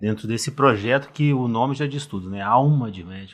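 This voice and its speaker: A man at a moderate pace with lively intonation, in a very clean recording with a silent background. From Brazil, Rio de Janeiro. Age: 50s. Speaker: cardiologist. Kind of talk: podcast interview.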